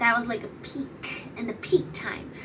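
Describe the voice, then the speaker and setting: Audible room echo and noticeable background noise surround a woman's voice. Her pitch is high. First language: Bengali. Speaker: podcast host and YouTuber. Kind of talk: casual monologue. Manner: rambling, hesitant, many fillers. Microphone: poor audio quality.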